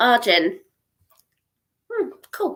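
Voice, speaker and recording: A woman with a southern English accent speaks in a bright, sharp tone. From southern England. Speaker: psychic tarot reader. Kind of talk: live-stream psychic reading. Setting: live stream. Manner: warm, chatty.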